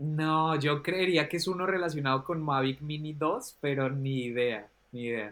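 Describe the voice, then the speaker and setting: A man with an unremarkable speaking voice talks at a fairly slow pace in a fairly high pitch, with ordinary pitch variation. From Colombia. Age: 30s. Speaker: drone consultant and trainer. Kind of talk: interview.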